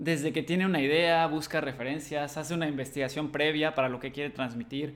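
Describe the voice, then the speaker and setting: Talking at a fairly quick pace, a man with a Mexican accent uses a fairly high pitch. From Mexico, Cancún. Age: 20s. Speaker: podcast host, creative studio owner. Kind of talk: solo podcast monologue. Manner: hesitant fillers.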